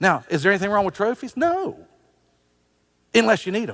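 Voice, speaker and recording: Speaking at a very fast pace, a man with a high pitch makes very wide pitch swings. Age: 60s. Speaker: pastor. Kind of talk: sermon.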